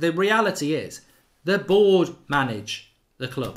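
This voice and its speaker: Spoken with an English accent, the voice shows ordinary pitch variation. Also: man. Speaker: football fan channel host. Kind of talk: live stream fan show with callers. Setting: live stream.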